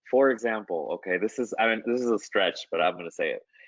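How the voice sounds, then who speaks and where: Speaking at a moderate pace, a man has a normal speaking voice, a medium pitch and lively intonation. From Las Vegas, US, Guatemalan and Mexican American family. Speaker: artist. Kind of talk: interview. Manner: casual, many fillers.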